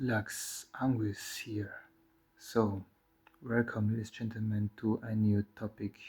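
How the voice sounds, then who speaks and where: A man with a non-native accent speaks at a very slow pace, his fairly low pitch somewhat breathy and his intonation monotone and flat. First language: not English. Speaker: occult teacher. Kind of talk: spoken lecture. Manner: halting.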